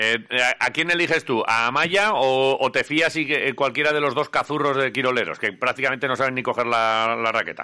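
A man speaks at a fairly quick pace in a bright, sharp tone, his pitch medium with ordinary variation and his loudness very even. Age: 40s. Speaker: radio host. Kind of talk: casual interview. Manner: halting.

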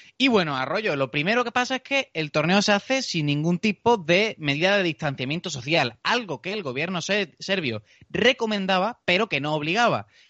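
Speaking at a moderate pace with hardly any pauses, a man with a southern Spanish accent uses a high pitch and very wide pitch swings. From southern Spain. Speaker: podcast host. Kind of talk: casual chat.

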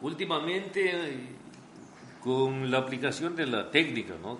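A man speaks at a fairly slow pace with lively intonation. Room echo is audible. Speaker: radio station director and owner. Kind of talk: interview. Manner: hesitant, with repetitions.

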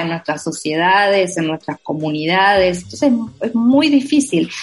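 A woman with a fairly low pitch speaks with very wide pitch swings. Noticeable background noise runs behind her. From Argentina, Entre Ríos province (Villa Elisa). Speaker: novelist. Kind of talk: interview. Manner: halting, many repetitions and fillers.

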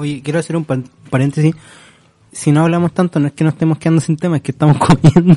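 A man with a Chilean accent rattles along at a very fast pace, his fairly high voice dark and mellow in tone yet monotone and flat. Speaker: podcast host. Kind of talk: casual chat.

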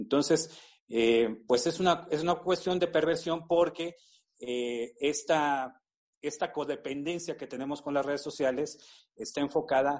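A man talks fairly slowly in a fairly high voice, his pitch varying normally, with a quiet background behind him. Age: 50s. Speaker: university professor. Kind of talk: expert interview. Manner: halting, many fillers and repetitions.

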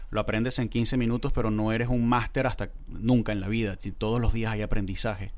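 Audible room echo surrounds a man talking at a fairly quick pace. His pitch is medium, and his intonation is monotone and flat. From Venezuela (Valencia), born in Córdoba, Argentina. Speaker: singer-songwriter and writer. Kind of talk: casual interview chat.

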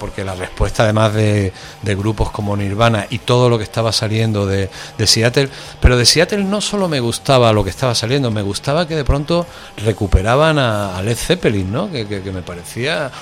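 Through noticeable background noise, a man at medium pitch talks at a fairly quick pace with ordinary pitch variation. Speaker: radio presenter. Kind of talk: casual interview.

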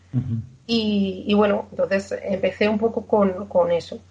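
A woman's voice, fairly high in pitch, comes across somewhat breathy. Her pitch varies in an ordinary way. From Spain, Aragón (village in Zaragoza province). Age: 20s. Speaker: patient sharing her story of living with a muscular disease. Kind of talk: interview testimony. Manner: halting, with many fillers.

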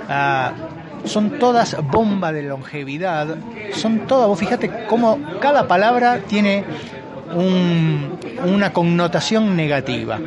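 A man with a high voice speaks very slowly in an Argentine accent, with audible room echo and crowd noise in the background. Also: lively intonation. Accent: Argentine Spanish (voseo). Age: 50s. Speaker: physician and ageing researcher. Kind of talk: interview.

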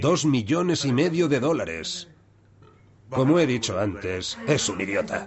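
Over background music and audible room echo, a man talks at a fairly slow pace with very wide pitch swings. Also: medium pitch for a man. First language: Japanese (speaking Spanish). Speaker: former yakuza debt collector. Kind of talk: documentary interview.

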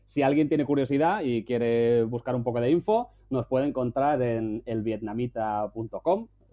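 Speaking at a fairly slow pace, a man uses an ordinary speaking voice at medium pitch with ordinary pitch variation. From Spain. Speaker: travel blogger. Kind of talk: casual chat. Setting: at home.

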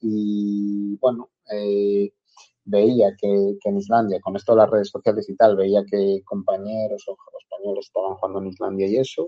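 A man's flat, monotone delivery at a fairly low pitch and moderate pace. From northwestern Spain, El Bierzo (León). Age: 20s. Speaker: footballer. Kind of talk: interview.

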